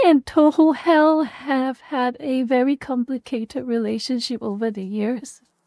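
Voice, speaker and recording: A woman with a non-native accent speaks at a fairly slow pace, her high pitch carrying lively intonation. Her tone is dark and mellow, and the sound is dry and close with no echo. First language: not English. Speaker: vtuber streamer. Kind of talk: casual chat.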